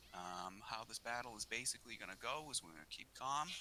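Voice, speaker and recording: A man's medium-pitched voice with a bright, sharp tone, lively intonation and a strong Boston accent. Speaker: gaming clan leader. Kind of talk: battle briefing.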